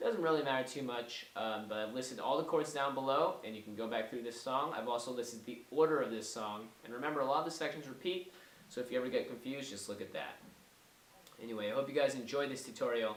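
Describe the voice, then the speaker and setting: There is audible room echo as a man speaks at a very fast pace and a medium pitch. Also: ordinary pitch variation. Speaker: musician teaching guitar. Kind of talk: tutorial. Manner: casual.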